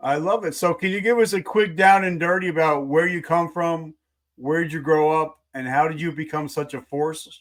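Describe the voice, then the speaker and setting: With an ordinary speaking voice, this man's fairly high pitch shifts in an ordinary way as he keeps a moderate pace. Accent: American. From New Jersey. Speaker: podcast host and coach. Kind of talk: interview.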